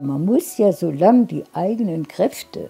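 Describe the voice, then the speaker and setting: A woman at a very slow pace, faint music in the background. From Palatinate, Germany. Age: 80s+. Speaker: city council member. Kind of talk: interview answer. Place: home room. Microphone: lapel.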